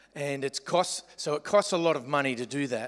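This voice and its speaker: Against a quiet background, a man with an Australian accent talks at a fairly high pitch with ordinary pitch variation. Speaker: pastor. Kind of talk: sermon. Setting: church. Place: hall.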